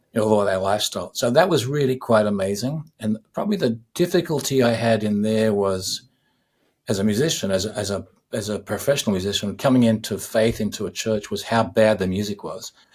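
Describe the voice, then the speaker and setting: With ordinary pitch variation, a man talks fairly quickly in a fairly low pitch. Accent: Australian. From Australia. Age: 60s. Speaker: musician. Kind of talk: interview. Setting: podcast interview.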